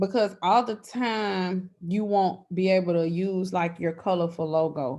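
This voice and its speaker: Against a quiet background, a woman with an ordinary speaking voice talks at a fairly slow pace in a medium pitch with ordinary pitch variation. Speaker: branding and social media coach. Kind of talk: online workshop, casual teaching.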